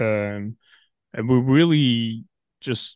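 A man's medium-pitched voice sounds out against a quiet background. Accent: Norwegian. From Norway. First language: Norwegian. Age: 20s. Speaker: metalcore band vocalist. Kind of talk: casual interview chat.

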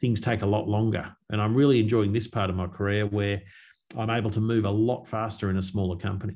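Speaking with an Australian accent, a man keeps a fairly low pitch, a fairly quick pace and fairly even intonation. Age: 50s. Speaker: agricultural company executive. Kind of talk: interview.

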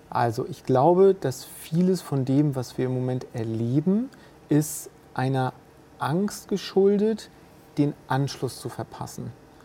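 A woman's very deep, low-pitched voice with lively intonation at a very slow pace. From bilingual French-German household. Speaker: business leader. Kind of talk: casual interview conversation.

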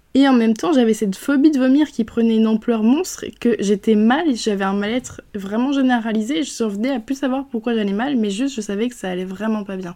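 A woman speaks at a fairly quick pace with hardly any pauses, her pitch fairly high and its variation ordinary. Noticeable background noise sits behind her. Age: 20s. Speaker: podcast host. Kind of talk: personal testimony. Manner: halting.

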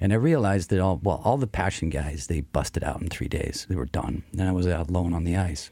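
With an American accent, a man talks at a fairly quick pace with hardly any pauses, his very deep, low voice carrying a dark, mellow tone, vocal fry and ordinary pitch variation. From US small town. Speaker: coffee company CEO. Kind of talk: radio interview. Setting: studio.

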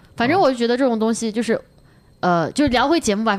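A woman at a very fast pace, with ordinary pitch variation. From China. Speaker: stand-up comedian. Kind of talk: casual chat.

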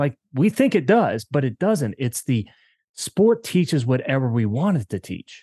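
With an American accent, a man talks in a medium pitch with lively intonation and a dark, mellow tone, in a dry, close sound with no echo. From Maryland, US. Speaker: sports psychology coach. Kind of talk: interview conversation. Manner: rambling with fillers.

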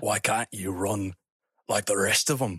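A man puts on a menacing character voice. It is raspy and fairly low in pitch.

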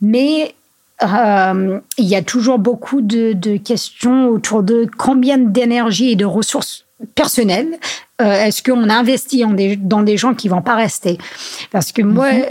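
Very slowly, a woman with an English accent speaks at a fairly high pitch. Her loudness stays very even and her pitch varies in an ordinary way. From US Northeast (Vermont). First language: English (speaking French). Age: 30s. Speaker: trail and skyrunning athlete. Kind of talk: casual interview. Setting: at her home. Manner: halting, many hesitations.

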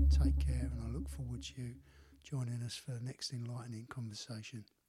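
With a Cockney accent, a man talks at a moderate pace and medium pitch, his pitch swinging very widely. Music plays in the background. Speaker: podcast host. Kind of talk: casual chat.

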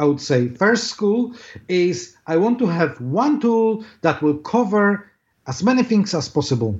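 A man with a high voice swings very widely in pitch while his loudness stays very even. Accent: Polish. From Poland. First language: Polish. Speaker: SEO marketing director. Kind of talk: interview. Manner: hesitant, many fillers.

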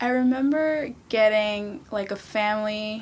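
The speaker has an American accent and an ordinary speaking voice. Pitch varies in an ordinary way. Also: woman. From New York City, Queens. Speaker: former youth tech program participant. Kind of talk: casual chat.

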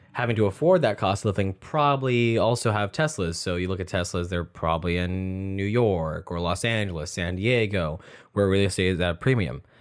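Here is a man with a very deep, low voice. He speaks at a fairly quick pace with ordinary pitch variation. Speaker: podcast host. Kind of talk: casual chat. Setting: home office.

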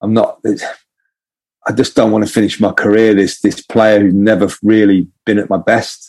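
In an English accent, a man speaks at a moderate pace with a fairly low pitch, very even loudness and monotone, flat intonation. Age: 40s. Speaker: ex pro footballer and performance coach. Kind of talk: casual chat. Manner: halting.

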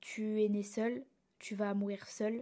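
A woman's voice with a dark, mellow tone and a fairly high pitch. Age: young. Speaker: podcast host. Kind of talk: solo podcast monologue.

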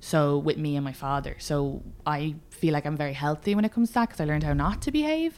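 Ordinary pitch variation at a very fast pace. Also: woman, very deep, low pitch for a woman. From Ireland, Meath/Dublin border. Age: 20s. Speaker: comedian. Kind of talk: casual chat.

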